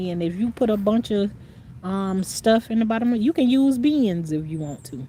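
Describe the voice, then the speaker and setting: A woman speaks at a moderate pace with lively intonation and a somewhat breathy, dark, mellow tone. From North Carolina, rural. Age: 60s. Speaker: gardening vlogger. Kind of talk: casual livestream chat reading comments. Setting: outdoors in the garden. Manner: rambling, conversational.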